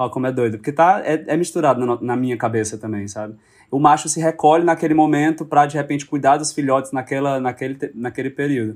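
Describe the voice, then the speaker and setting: A man at a very fast pace on a very clean recording with a silent background. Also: fairly high pitch for a man, ordinary pitch variation. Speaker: actor and director. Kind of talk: casual chat.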